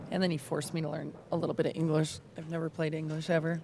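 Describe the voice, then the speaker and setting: A woman talks at a very fast pace. Her voice is very deep and low for a woman. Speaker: pool stream commentator. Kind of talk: casual commentary chat. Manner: loud.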